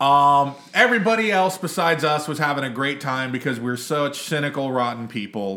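A man speaks in an ordinary speaking voice at a fairly quick pace, with hardly any pauses. His pitch sits fairly high, and his intonation is lively. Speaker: podcast co-host. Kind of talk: casual chat. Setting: outdoors.

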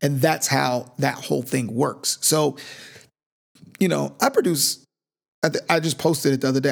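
A man with an ordinary speaking voice talks at a moderate pace and fairly high pitch, with ordinary pitch variation, on a very clean recording with a silent background. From Northern California, Sacramento. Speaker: music producer and actor. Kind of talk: casual interview.

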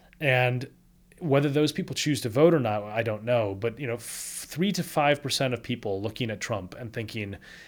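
On a very clean recording with a silent background, a man with a plain, everyday voice speaks at medium pitch, ordinary pitch variation and a moderate pace. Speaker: political scientist and author. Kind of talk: interview explaining book.

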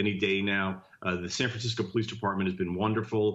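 A man with an American accent, fairly low in pitch, at a fairly quick pace with fairly even intonation, a normal speaking voice. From New Jersey (Jersey City). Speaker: congressional candidate. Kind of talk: interview.

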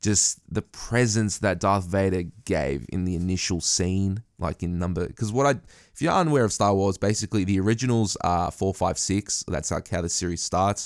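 In a very clean recording with a silent background, a man with a very deep, low pitch and an Australian accent talks at a moderate pace with ordinary pitch variation. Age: 20s. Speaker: podcast host. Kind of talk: casual chat.

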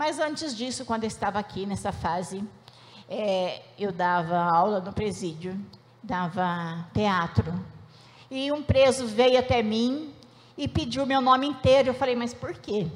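With lively intonation, a woman talks at a fairly slow pace in a somewhat breathy, fairly high-pitched voice. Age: 60s. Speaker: church member giving testimony. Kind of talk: testimony.

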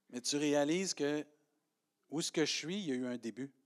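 A man with a Quebec accent at a moderate pace, fairly high in pitch with ordinary variation, dry and close with no echo in a very clean recording over a silent background. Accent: Québécois French. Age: 50s. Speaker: pastor. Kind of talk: sermon. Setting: church.

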